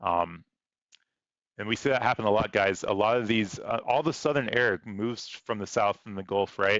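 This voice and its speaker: Here a man speaks with a fairly low pitch. His pitch variation is ordinary. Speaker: weather livestreamer. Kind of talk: live commentary. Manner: fast.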